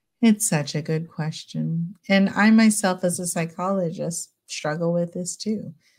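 Somewhat breathy, a woman speaks at a fairly slow pace in a fairly low pitch. The recording is very clean, with a silent background. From California, US. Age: 40s. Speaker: clinical psychologist. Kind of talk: casual interview.

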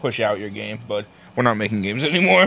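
A man speaks with vocal fry. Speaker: podcast co-host. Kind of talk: casual chat, profane banter.

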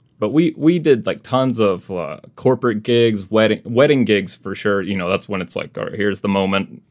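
A man with an American accent speaks in a normal speaking voice, fairly low in pitch with lively intonation, at a moderate pace with hardly any pauses. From US South, Mississippi. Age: 30s. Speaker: classical guitarist and YouTuber. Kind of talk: casual interview chat.

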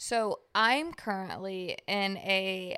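In a Louisiana accent, a woman speaks at a medium pitch with ordinary pitch variation. Her tone is animated, bright and sharp. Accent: Southern US, Louisiana. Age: 20s. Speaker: podcast co-host. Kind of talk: casual chat between two friends. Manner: animated, jokey.

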